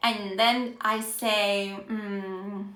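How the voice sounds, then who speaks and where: The speaker takes an animated tone, with audible room echo in the recording. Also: woman. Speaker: Spanish teacher. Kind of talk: live-stream language lesson. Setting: Instagram live stream. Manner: animated, encouraging.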